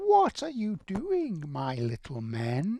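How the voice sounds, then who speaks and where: The speaker is a man using a put-on character voice. His delivery is very slow. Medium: read story. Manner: coaxing, falsely sweet.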